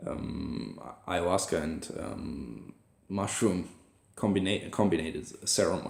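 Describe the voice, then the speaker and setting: Speaking with a German accent and vocal fry, the voice has lively intonation at a fairly slow pace. Audible room echo surrounds it. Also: man, very deep, low pitch for a man. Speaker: vlogger. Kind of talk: personal video journal. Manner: halting, many fillers and restarts.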